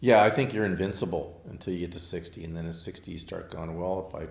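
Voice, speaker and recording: A man with a very deep, low pitch talks at a fairly quick pace, with audible room echo. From Southern California (Manhattan Beach). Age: 60s. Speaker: architect and car collector. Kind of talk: casual interview chat. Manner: hesitant, many fillers.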